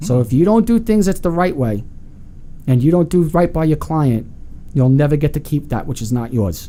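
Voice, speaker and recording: Speaking with a New York accent, a man with a fairly high voice makes very wide pitch swings at a moderate pace. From Long Island, New York. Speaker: real estate agent. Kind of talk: interview.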